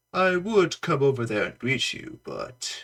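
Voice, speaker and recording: A put-on character voice at a fairly slow pace. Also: man, high pitch for a man. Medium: solo performance. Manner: smug, indulgent.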